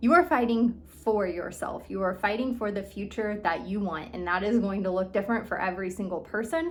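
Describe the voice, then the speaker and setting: A plain, everyday voice with lively intonation, moving at a fairly quick pace with hardly any pauses. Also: woman, medium pitch for a woman. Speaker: eating disorder recovery coach. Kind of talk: motivational talk. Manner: casual, filler-heavy.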